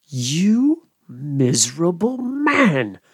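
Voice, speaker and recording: A man's high, put-on character voice with very wide pitch swings. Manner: contemptuous.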